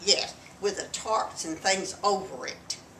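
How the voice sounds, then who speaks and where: A woman talks with fairly even intonation. Audible room echo and noticeable background noise fill the recording. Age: 80s+. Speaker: grandmother, wartime factory worker. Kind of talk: casual chat.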